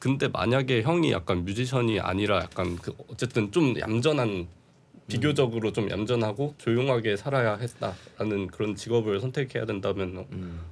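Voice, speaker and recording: A man with an ordinary speaking voice, at a moderate pace and with ordinary pitch variation. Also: medium pitch for a man. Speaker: podcast host. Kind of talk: casual interview chat. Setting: studio.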